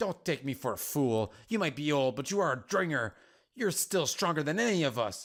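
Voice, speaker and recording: On a very clean recording with a silent background, a man puts on a character voice at a fairly high pitch with very wide pitch swings. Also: moderate pace. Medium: game stream. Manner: blunt, impatient.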